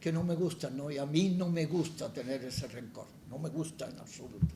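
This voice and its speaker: Amid audible room echo and noticeable background noise, a man with a fairly high pitch talks at a moderate pace. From Andalusia, Málaga. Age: 80s+. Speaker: poet. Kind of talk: public conversation. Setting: stage with audience. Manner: halting, frequent repetitions.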